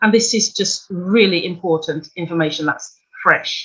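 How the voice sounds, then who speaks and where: Spoken at a fairly slow pace with a British accent, the voice has lively intonation. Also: woman. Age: 60s. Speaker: financial coach. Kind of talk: workshop presentation.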